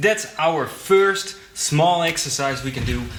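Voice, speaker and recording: A man speaks with a non-native accent. Noticeable background noise sits behind him. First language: not English. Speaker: drum teacher. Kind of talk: tutorial.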